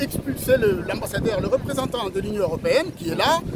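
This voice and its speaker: An animated man at an extremely high pitch, fairly quick in pace and lively in intonation, over noticeable background noise. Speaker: lawyer. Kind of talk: TV interview. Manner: fast.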